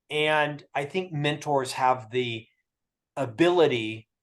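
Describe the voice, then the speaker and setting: Speaking at a very slow pace, a man with an American accent uses a fairly high pitch and ordinary pitch variation. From Florida, US. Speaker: author and mentorship expert. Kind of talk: webinar interview. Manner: over-enunciated.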